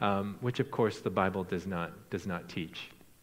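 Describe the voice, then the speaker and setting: On a very clean recording with a silent background, a man with a Midwestern American accent talks at a moderate pace. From US Midwest, Iowa. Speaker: missionary. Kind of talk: sermon. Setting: church.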